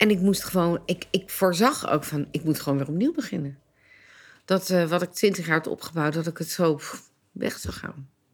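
In a very clean recording with a silent background, a woman with a normal speaking voice talks at a moderate pace, her fairly low pitch showing ordinary pitch variation. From Netherlands, Leiden. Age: 60s. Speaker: entrepreneur. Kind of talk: personal interview testimony.

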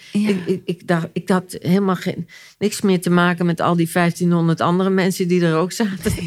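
A woman with a fairly low pitch speaks at a moderate pace in a flat monotone, her loudness very even. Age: 60s. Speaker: therapist and author. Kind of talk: personal testimony in interview. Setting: at her home. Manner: halting, repeating words.

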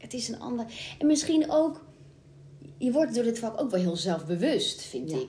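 Her voice fairly high, a woman swings her pitch very widely. Noticeable background noise is present. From Brabant, Netherlands. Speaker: musical theatre actress. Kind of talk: casual chat.

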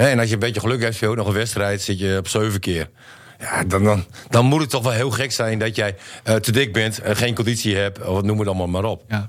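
A man with a fairly low pitch and a plain, everyday voice, fairly quick in pace, his intonation fairly even. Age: 40s. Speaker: football pundit, former player. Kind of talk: casual chat.

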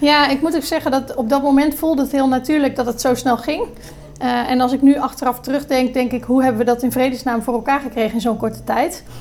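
Against noticeable background noise, a woman talks at a very fast pace with high pitch and fairly even intonation. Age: 30s. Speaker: hospitality entrepreneur and hotel manager. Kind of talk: podcast interview. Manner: hesitant, many filler sounds.

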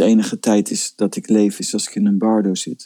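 Fairly slow speech from a man, with a dry, close sound and no echo. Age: 50s. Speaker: spiritual teacher. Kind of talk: casual chat.

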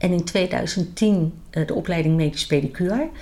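Vocal fry at a moderate pace. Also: woman. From The Hague, Netherlands. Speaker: medical pedicure and instructor. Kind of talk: interview.

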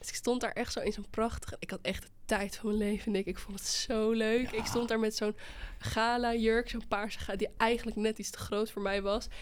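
At a fairly quick pace, a woman with a fairly high pitch speaks in a monotone, flat intonation. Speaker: podcast host. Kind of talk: casual chat.

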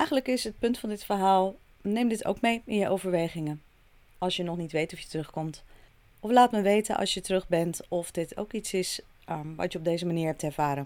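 A woman with a plain, everyday voice talks at a moderate pace, with a fairly low pitch and ordinary pitch variation. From Netherlands. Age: 40s. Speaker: podcast host. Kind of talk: solo podcast monologue.

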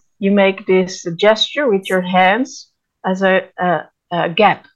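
Her pace very slow, a woman speaks at a medium pitch with ordinary pitch variation. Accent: Dutch. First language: Dutch. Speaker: podcast co-host. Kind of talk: interview. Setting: video call.

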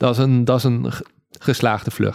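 Moderately paced, a man speaks with fairly even intonation. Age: 30s. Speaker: paragliding instructor. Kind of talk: interview. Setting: at home in living room. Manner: halting.

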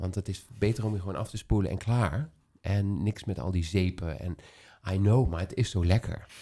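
The recording is very clean, with a silent background. A man's somewhat breathy, fairly low voice shows ordinary pitch variation. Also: moderate pace. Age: 40s. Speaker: podcast host and salon owner. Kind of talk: casual chat.

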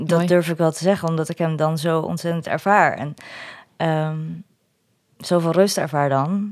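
On a very clean recording with a silent background, a woman with a fairly low pitch talks at a moderate pace in a monotone, flat intonation, leaving long, frequent pauses. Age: 40s. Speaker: single mother. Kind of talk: interview conversation. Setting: at home at a table.

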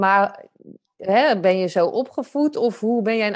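A woman's fairly high voice with a slight Zeeland accent. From Zeeland, Netherlands. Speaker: photographer and podcast host. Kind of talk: podcast interview.

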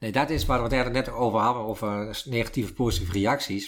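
A man is speaking. His pace is fairly quick. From Twente, eastern Netherlands. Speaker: communications professional and author. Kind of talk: casual interview. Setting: at home. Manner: halting, many fillers.

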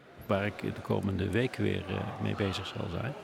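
A man's fairly slow speech is heard through noticeable background noise. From Netherlands, South Limburg (Schinnen). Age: 60s. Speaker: local politician. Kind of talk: political interview. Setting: live podcast recording at a media festival, bar noise.

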